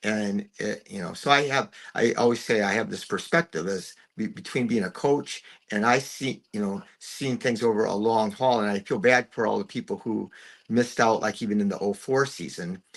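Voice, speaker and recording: Over a quiet background, a man with an American accent speaks at a moderate pace. His medium-pitched voice shows ordinary pitch variation. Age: 60s. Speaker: retired basketball coach, podcaster, sports fan. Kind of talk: casual chat. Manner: halting, repeats words.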